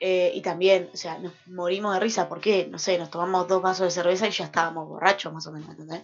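Music plays in the background as a woman talks at a very fast pace, fairly low in pitch, with monotone, flat intonation and big swings in loudness. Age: 20s. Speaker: radio host. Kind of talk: casual chat.

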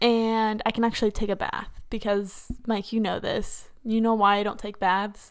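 A woman has an ordinary speaking voice, pitched fairly high. She talks at a fairly slow pace in a very clean recording with a silent background. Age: 20s. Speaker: podcast host. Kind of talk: casual chat. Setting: recorded in bed at home.

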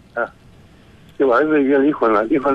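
A man at a medium pitch with lively intonation, music in the background. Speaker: caller. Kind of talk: casual chat. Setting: phone call. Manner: halting. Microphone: electrical noise on the line.

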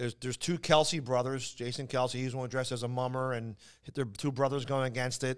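Someone in a Philadelphia accent is heard on a very clean recording with a silent background. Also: man. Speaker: comedian. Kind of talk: casual chat.

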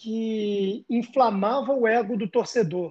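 The man's voice sits at a high pitch. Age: 30s. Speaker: sports journalist. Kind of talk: casual chat.

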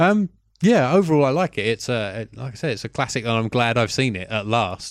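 A man with a British accent talks fairly quickly in a medium pitch, his intonation lively and the sound dry and close with no echo. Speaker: film podcast co-host. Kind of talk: casual chat.

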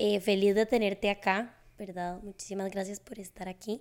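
Speaking fairly quickly at a medium pitch, a woman uses a normal speaking voice. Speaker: psychologist podcast host. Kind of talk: casual interview chat; scripted outro.

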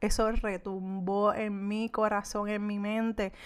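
A woman with a fairly high voice, recorded very cleanly against a silent background. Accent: Puerto Rican. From Puerto Rico. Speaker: podcast host, entrepreneur. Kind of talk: solo podcast monologue. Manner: meandering, conversational.

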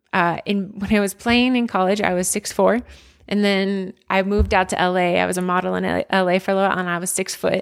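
A woman with an American accent at a medium pitch, speaking at a very fast pace in a monotone, flat intonation, in a very clean recording with a silent background. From suburban Philadelphia, Pennsylvania. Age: 30s. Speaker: former college athlete. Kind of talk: casual interview chat.

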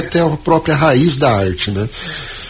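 A man speaks fast-ish, at a fairly quick pace with lively intonation, as noticeable background noise carries on. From Mato Grosso do Sul Pantanal, Aquidauana. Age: 40s. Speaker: accordionist. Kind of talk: interview.

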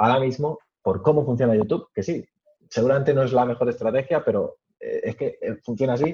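At a fairly quick pace, a man talks in a somewhat breathy voice with a dark, mellow tone. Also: medium pitch for a man, ordinary pitch variation. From Spain, Madrid region (Alcalá de Henares). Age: 20s. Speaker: tech media founder and YouTuber. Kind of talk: interview.

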